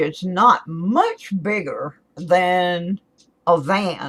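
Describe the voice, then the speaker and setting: In an American accent, a woman speaks at a medium pitch. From Florida. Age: 60s. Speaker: YouTuber. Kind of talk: casual chat. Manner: halting.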